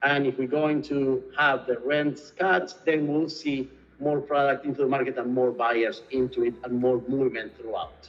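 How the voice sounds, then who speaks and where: With noticeable background noise, a man speaks at a moderate pace in a fairly high pitch and fairly even intonation. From Argentina, Buenos Aires. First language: Spanish. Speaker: real estate executive. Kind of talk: interview.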